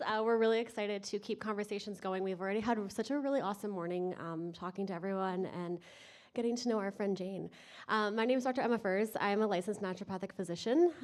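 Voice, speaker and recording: A woman at a medium pitch, with ordinary pitch variation, very fast delivery, and a very clean recording over a silent background. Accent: Canadian. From Canada, British Columbia. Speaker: naturopathic physician, conference presenter. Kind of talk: conference presentation. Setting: stage with audience.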